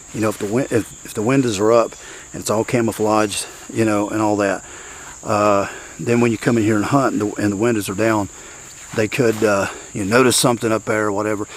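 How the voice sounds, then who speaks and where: The pace is fairly quick, and background noise is noticeable throughout. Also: man. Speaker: bowhunter. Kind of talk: outdoor vlog. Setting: outdoors in the woods. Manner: hesitant, filler-heavy.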